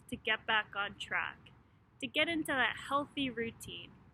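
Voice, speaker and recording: An ordinary speaking voice from a woman at a moderate pace. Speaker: clinical hypnotist. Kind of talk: casual talk to camera, friendly intro. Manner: conversational, friendly.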